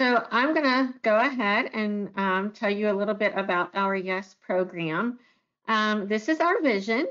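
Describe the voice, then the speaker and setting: An unremarkable speaking voice from a woman, fairly high in pitch, at a fairly slow pace with ordinary pitch variation and very even loudness. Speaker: director of a self-advocacy youth program. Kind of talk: webinar presentation and moderated panel. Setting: video call.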